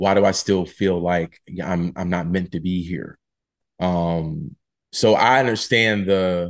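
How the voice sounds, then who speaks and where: Against a quiet background, a man with an American accent speaks in a very deep, low pitch with fairly even intonation. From US Northeast, Philadelphia. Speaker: playwright. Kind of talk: interview. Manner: halting, many fillers and repeats.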